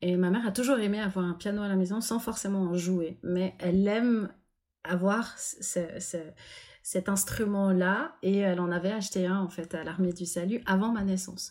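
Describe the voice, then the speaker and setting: A woman speaks at a moderate pace in an ordinary speaking voice, medium in pitch with fairly even intonation, on a very clean recording with a silent background. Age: 40s. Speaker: pianist and composer. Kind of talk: interview.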